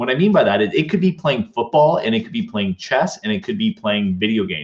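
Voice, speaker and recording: Talking fairly quickly, a man uses a fairly high pitch with vocal fry and very wide pitch swings. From Canada. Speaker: leadership speaker. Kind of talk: interview conversation. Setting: live online show.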